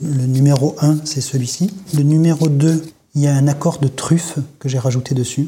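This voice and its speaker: At a fairly slow pace, a man with a fairly high pitch talks in a dark, mellow tone that is somewhat breathy, his intonation fairly even. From southern France, Grasse. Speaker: perfumer. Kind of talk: casual chat.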